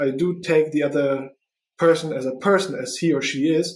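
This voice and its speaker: This man has a non-native accent. His pitch is fairly high, with ordinary pitch variation. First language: not English. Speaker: podcast host and recruiter. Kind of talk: solo podcast monologue. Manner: halting, many fillers.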